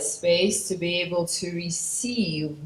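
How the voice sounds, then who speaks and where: A woman's fairly low, somewhat breathy voice with a non-native accent, very slow and fairly even in intonation, with audible room echo. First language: not English. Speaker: spiritual channeler. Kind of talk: conference talk introducing a channeling.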